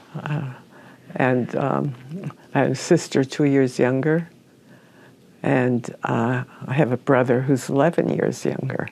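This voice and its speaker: Speaking at a fairly slow pace with long, frequent pauses, a woman uses a very deep, low pitch, a dark, mellow tone, vocal fry and fairly even intonation. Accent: Upper Midwest. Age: 90s. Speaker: oral history interviewee. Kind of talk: oral history interview. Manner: halting.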